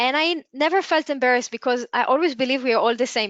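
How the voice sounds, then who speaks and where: In a dry, close sound with no echo and a quiet background, a woman with a non-native accent speaks with fairly even intonation. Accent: non-native English, audible. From Israel. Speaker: entrepreneur and webinar speaker. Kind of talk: webinar talk. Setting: online webinar. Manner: halting, with self-corrections.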